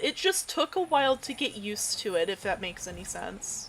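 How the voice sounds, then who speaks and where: A woman with an American accent speaks in an animated tone, her pitch swinging very widely, over noticeable background noise. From US South, southeast Tennessee / northeast Georgia. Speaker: streamer. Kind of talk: casual chat.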